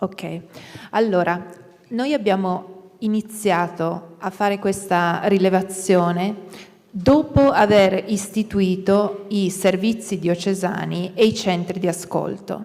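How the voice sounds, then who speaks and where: Speaking in an Italian accent, a woman holds a medium pitch and fairly even intonation at a fairly slow pace against noticeable background noise. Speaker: church safeguarding panelist. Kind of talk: panel answer.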